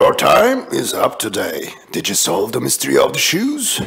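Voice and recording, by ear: At a moderate pace, a man performs a cartoonish character voice.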